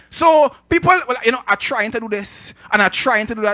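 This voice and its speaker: In a bright, sharp tone, a man projects a raised voice over a quiet background. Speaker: preacher. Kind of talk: sermon. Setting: church with congregation. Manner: animated, call-and-response; conversational with humor. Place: church. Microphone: handheld.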